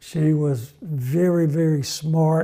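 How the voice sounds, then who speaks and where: A man with a Mississippi accent, fairly high pitch and ordinary pitch variation. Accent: Mississippi Southern US. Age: 70s. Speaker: retired grandfather telling life stories. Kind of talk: oral history interview. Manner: halting, many fillers and repeats.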